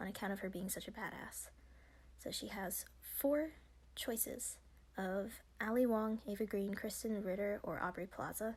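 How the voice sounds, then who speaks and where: The speaker keeps a moderate pace. The voice is quiet. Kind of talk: casual commentary, reading and reacting to an article. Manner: quiet, low volume.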